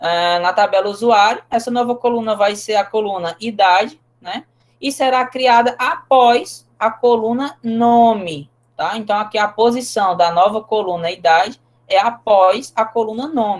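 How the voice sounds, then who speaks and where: A woman with an unremarkable speaking voice speaks at a fairly slow pace, her fairly high pitch moving with ordinary variation. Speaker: teacher. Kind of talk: lecture.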